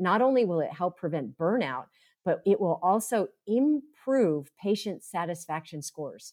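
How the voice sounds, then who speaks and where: On a very clean recording with a silent background, a woman with an American accent speaks fairly slowly, her pitch swinging very widely. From US East (upstate New York, then Florida). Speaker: mindfulness teacher and therapist. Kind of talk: interview.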